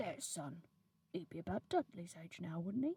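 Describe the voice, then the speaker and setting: A woman mumbles in a put-on character voice, fairly low in pitch with lively intonation and big swings in loudness, at a moderate pace in a dry, close sound with no echo. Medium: read story. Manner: nervous, mumbling.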